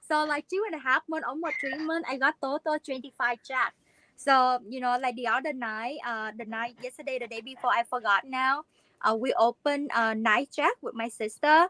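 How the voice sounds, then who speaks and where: Raising and projecting her high-pitched voice, a woman sounds animated with ordinary pitch variation, in a dry, close sound with no echo. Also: moderate pace. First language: not English. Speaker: live stream co-host. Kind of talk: casual live stream chat. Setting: live video stream.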